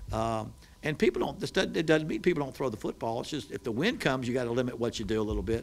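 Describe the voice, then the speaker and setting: A man with a Southern accent, vocal fry, a medium pitch, ordinary pitch variation and a very fast pace. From West Virginia. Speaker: college football head coach. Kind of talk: press conference. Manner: halting, many false starts and repetitions.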